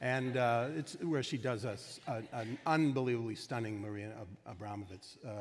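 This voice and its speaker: A man speaks at a moderate pace and medium pitch, with ordinary pitch variation. His loudness swings widely, and room echo is audible. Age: 60s. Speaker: film director. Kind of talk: onstage festival conversation. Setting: stage with audience. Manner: halting, many fillers.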